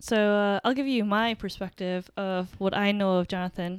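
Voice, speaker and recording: A woman with an American accent talks at a fairly quick pace in an ordinary speaking voice of medium pitch. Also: dry, close sound with no echo. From upstate New York. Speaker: podcast co-host. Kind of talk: casual chat.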